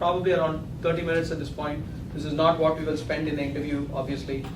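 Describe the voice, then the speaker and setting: Amid noticeable background noise and audible room echo, a man speaks at a very fast pace and a fairly high pitch, his intonation fairly even. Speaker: coding interview instructor. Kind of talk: lecture.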